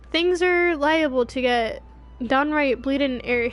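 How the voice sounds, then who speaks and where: A strained, high-pitched, put-on character voice moves at a fairly slow pace over clear music in the background. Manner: strained, struggling.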